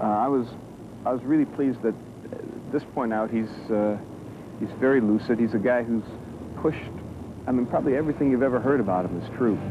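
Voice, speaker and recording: A man talks at a very fast pace with fairly even intonation. The sound is dry with no echo, though background noise is noticeable. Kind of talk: interview answer. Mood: admiring, reflective. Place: garden.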